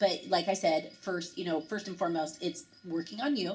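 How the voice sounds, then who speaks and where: In an animated tone, a woman speaks at a fairly quick pace and medium pitch, with ordinary pitch variation. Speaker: fitness business coach. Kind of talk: webinar presentation. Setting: online webinar. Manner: fast.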